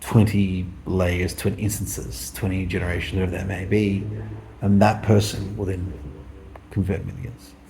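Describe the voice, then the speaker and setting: With an Australian accent, a man mumbles in a very deep, low voice with ordinary pitch variation, and audible room echo surrounds him. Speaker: vlogger. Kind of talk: casual monologue. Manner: mumbling.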